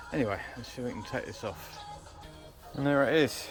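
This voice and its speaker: A man talks at a medium pitch with ordinary pitch variation while music plays in the background. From Britain. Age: 60s. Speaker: amateur mechanic. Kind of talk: casual DIY repair talk to camera.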